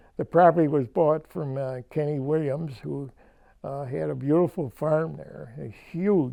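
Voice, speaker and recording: A man with a western New York accent has a dark, mellow tone and fairly high pitch with ordinary pitch variation. He talks at a fairly slow pace against a quiet background. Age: 90s. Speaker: local elder. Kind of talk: oral history interview. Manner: halting.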